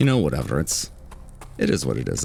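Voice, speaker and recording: A man talks at a very deep, low pitch. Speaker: gaming YouTuber. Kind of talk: casual gameplay commentary. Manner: casual, conversational. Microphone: compressor cuts out quiet speech.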